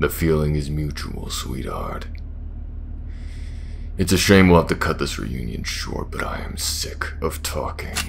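A man's put-on character voice at a moderate pace, with long, frequent pauses and clear background noise. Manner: sneering, mocking, menacing.

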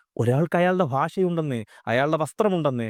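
With lively intonation and an unremarkable speaking voice, a man talks in a dry, close sound with no echo on a very clean recording with a silent background. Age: 30s. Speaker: social commentator. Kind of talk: video monologue.

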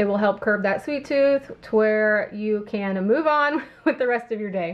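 In a plain, everyday voice, a woman with an American accent talks at a fairly slow pace with ordinary pitch variation. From Illinois. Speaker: lifestyle YouTuber. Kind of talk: grocery haul video. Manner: casual chatty. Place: kitchen.

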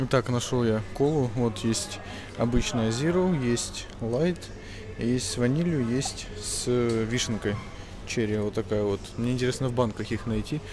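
A man's fairly slow voice with ordinary pitch variation, dry sound with no echo, and faint music in the background. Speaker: tech video blogger; tech vlogger. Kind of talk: travel vlog. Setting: outdoors walking. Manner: casual, filler-heavy. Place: shop. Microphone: phone near.

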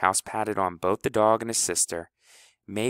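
A natural voice reading aloud, fairly even in intonation, over a quiet background.

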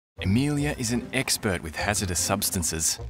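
With music in the background, a man with an Australian accent and a very deep, low pitch speaks at a moderate pace with very wide pitch swings. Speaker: voice actor. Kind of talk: TV commercial read.

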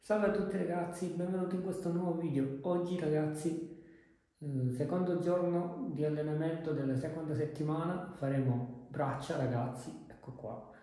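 In a room with strong echo, a man talks at a moderate pace with ordinary pitch variation. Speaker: fitness vlogger. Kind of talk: casual vlog chat. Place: home room.

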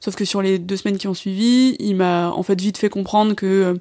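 A woman talks at a fairly quick pace in a medium pitch with a dark, mellow tone. Her intonation stays monotone and flat. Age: 20s. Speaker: activist, guest sharing breakup experience. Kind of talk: casual interview, personal testimony. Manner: hesitant, many fillers and repetitions.

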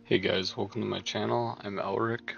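Faint music plays in the background as a man speaks with fairly even intonation in a dry sound with no echo. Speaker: gaming content creator. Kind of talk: tutorial. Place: home room. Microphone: headset.

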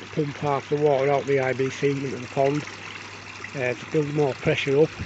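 A man is heard in a dry sound with no echo and noticeable background noise. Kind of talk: casual vlog chat. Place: garden. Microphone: phone near.

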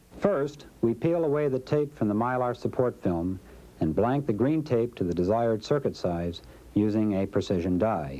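The pitch of this man's voice swings very widely. His pace is moderate. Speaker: corporate film narrator. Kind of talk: vintage industrial training-film narration, scripted and promotional. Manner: formal, even-paced, polished and authoritative; measured, dry, didactic.

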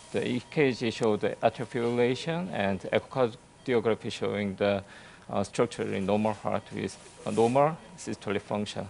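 A man's fairly low voice, a normal speaking voice, at a moderate pace with ordinary pitch variation and light background noise. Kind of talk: case presentation.

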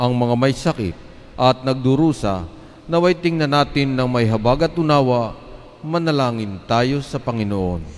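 This man takes a fairly slow pace. His intonation has a lively quality. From Philippines. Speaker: lector reading scripture and intercessions. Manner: earnest, steady, devout, solemn cadence. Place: church. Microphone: podium.

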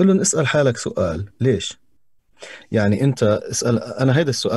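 A man in a Levantine accent speaks with a dark, mellow tone that is somewhat breathy. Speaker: voice-over artist and TV presenter. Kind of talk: casual chat. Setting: video call.

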